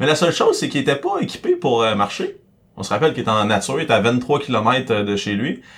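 A man talks at a very fast pace in a Quebec accent. His pitch sits in the medium range. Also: ordinary pitch variation. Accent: Québécois French. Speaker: podcast co-host. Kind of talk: casual chat.

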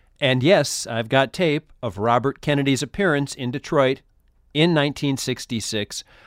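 A normal speaking voice from a man with an American accent, fairly high in pitch, fairly slow, with ordinary pitch variation, in a very clean recording with a silent background and a dry, close sound with no echo. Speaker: podcast host. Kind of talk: scripted narration and intro. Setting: studio.

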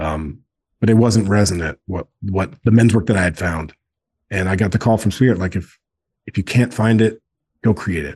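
A man talks at a moderate pace in a fairly low, somewhat breathy voice with ordinary pitch variation. He leaves long, frequent pauses. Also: quiet background. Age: 40s. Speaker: co-founder of a men's brotherhood organization. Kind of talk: casual interview conversation.

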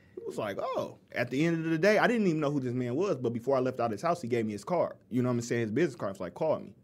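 A man speaks very fast with hardly any pauses, his pitch fairly high, over noticeable background noise. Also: lively intonation. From Inkster, Michigan (Detroit area). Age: 30s. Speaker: community activist. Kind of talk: casual chat.

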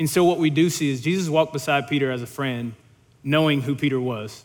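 The talking is fairly quick. Pitch varies in an ordinary way. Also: man. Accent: Louisiana. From Louisiana. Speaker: young adult ministry leader preaching. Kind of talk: sermon. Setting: church stage.

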